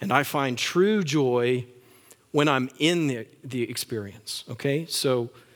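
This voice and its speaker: A medium-pitched man with a Texan accent and ordinary pitch variation. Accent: Texan (US Southern) English. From West Texas. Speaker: pastor. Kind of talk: sermon.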